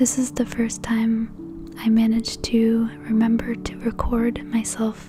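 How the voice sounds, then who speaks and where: Over music in the background, a soft-spoken voice moves at a very slow pace. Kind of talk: soft-spoken voiceover narrating a digital painting process.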